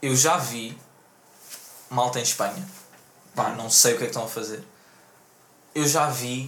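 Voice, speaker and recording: Amid noticeable background noise and audible room echo, a man at a medium pitch speaks fairly slowly with long, frequent pauses and ordinary pitch variation. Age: 20s. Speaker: podcast host. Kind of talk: casual chat.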